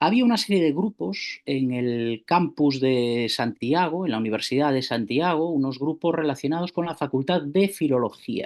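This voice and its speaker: Speaking fairly high for a man with a Galician accent, he uses lively intonation at a moderate pace with hardly any pauses, over a quiet background. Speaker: university theatre organiser. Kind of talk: conference talk by video call. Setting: video call.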